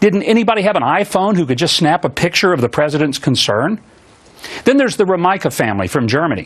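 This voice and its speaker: Very fast and very even in loudness, a man's high voice moves through very wide pitch swings. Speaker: TV talk show host. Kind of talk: opening monologue on a political commentary show. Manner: earnest, indignant.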